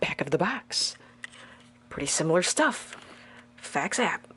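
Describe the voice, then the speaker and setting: Noticeable background noise sits under a woman's voice. She speaks at a fairly slow pace with fairly low pitch. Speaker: toy reviewer. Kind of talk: unboxing review. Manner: animated.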